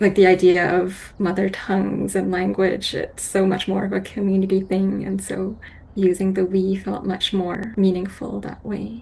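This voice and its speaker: Over noticeable background noise, a woman with a Canadian accent speaks at a medium pitch in a flat monotone, moving at a moderate pace with hardly any pauses. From Vancouver, Canada. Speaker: haiku poet. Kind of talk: interview. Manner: thoughtful, hesitant.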